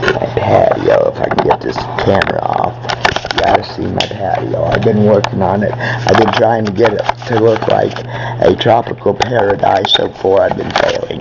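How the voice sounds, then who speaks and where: Noticeable background noise runs under this man's voice. His pace is moderate. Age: 60s. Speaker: vlogger. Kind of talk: casual monologue; inspirational speech. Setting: outdoors. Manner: halting.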